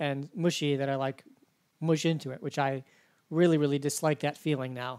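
A man talks at a moderate speed in a plain, everyday voice. His fairly high pitch shows ordinary pitch variation. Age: 40s. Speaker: podcast host and university instructor. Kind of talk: interview; podcast intro and outro.

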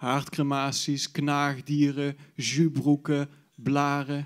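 A man speaks against a quiet background. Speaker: slam poet. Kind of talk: poetry slam performance, spoken word. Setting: stage with audience. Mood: wistful, nostalgic. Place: stage. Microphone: handheld.

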